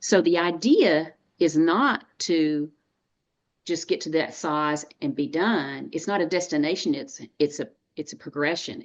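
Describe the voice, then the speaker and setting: Someone with a Texan accent speaks at a fairly slow pace against a quiet background. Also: woman. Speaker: dietitian and nutrition coach. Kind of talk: webinar interview.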